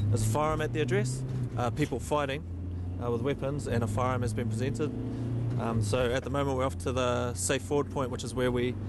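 The recording of this man is dry, with no echo. Loud background noise fills the clip. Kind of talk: interview answer. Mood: calm, focused. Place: car. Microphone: camera far.

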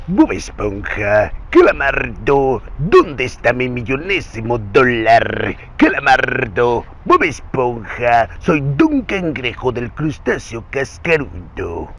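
A man puts on a character voice at a very slow pace with hardly any pauses, over light background noise. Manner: demanding, cartoonish.

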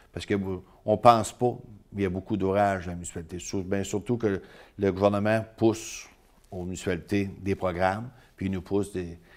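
Against a quiet background, a man with a fairly low pitch speaks in monotone, flat intonation at a moderate pace, with long, frequent pauses. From Île d'Orléans, Quebec; Quebec. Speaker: mayor, former truck driver; mayor. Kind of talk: interview. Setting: studio. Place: studio.

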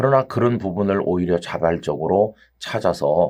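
On a very clean recording with a silent background, a man speaks in a plain, everyday voice with a fairly low pitch. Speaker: pastor. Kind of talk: sermon.

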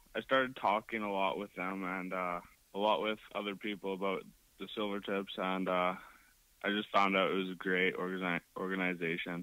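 A man speaks at a moderate pace with a very deep, low voice and monotone, flat intonation. The sound is dry with no echo. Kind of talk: interview answer.

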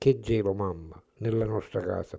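A man's dark, mellow tone at a fairly slow pace against a quiet background. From Sicily (Collesano, Palermo province); Sicily. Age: 80s+. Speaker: poet, retired teacher. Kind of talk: poetry reading. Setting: at the guest's home. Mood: calm, reflective, tender. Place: kitchen. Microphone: handheld.

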